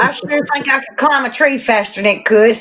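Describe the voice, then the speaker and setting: Over noticeable background noise, a woman talks very fast in a high pitch with ordinary pitch variation. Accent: strong Southern US. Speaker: catfishing angler. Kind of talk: casual chat.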